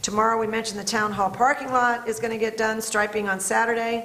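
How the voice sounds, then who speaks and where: A woman talking at a fairly quick pace amid noticeable background noise and audible room echo. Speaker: town board official. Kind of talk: public meeting report. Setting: town board meeting. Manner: fast.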